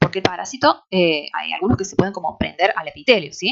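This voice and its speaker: Talking fairly quickly, a woman lets her pitch rise and fall over a very wide range. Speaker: university lecturer. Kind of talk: lecture. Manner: hesitant, many fillers.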